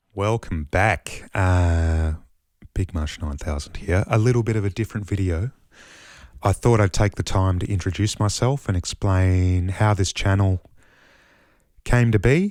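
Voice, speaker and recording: Long, frequent pauses break up a man's fairly slow speech in an Australian accent, his pitch very deep and low with ordinary variation, in a very clean, silent recording that sounds dry and close with no echo. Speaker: mushroom grower, musician. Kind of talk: casual vlog monologue. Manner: halting, many fillers.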